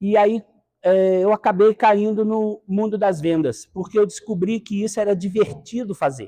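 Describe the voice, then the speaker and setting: A man's dark, mellow voice at a fairly slow pace, dry and close with no echo. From Minas Gerais and Rio de Janeiro state, Brazil. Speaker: sales consultant and speaker. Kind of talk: lecture.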